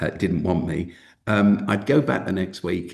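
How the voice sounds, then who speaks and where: A man talks with a South London accent. His pace is moderate and his pitch varies in an ordinary way. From South London, England. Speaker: Baptist minister, school founder. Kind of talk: webinar interview.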